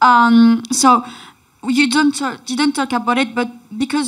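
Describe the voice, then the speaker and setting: A woman with a French accent. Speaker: audience member asking a question. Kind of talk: audience question. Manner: halting.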